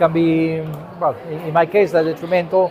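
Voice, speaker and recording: The man speaks at a moderate pace. Audible room echo and noticeable background noise are present. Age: 60s. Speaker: vlogger. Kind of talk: personal monologue to camera. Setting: gallery cafeteria. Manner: hesitant, many fillers.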